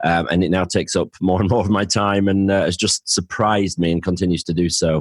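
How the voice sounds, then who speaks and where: Delivered at a fairly quick pace with hardly any pauses, the speech has a northern English accent, very even loudness and monotone, flat intonation, on a very clean recording with a silent background and a dry, close sound with no echo. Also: man, very deep, low pitch for a man. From northern England. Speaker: financial planner and podcaster. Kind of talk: interview.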